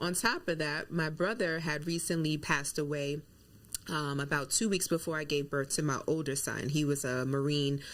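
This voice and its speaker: A woman's very deep, low voice with fairly even intonation, on a very clean recording with a silent background. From New York. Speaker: nurse and wellness coach. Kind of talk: interview.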